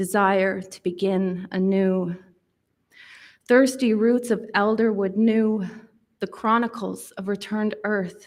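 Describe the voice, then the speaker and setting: Speaking at a very slow pace with long, frequent pauses, a woman at medium pitch keeps a monotone, flat intonation while her loudness swings widely. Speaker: poet. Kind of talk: speech; poetry reading.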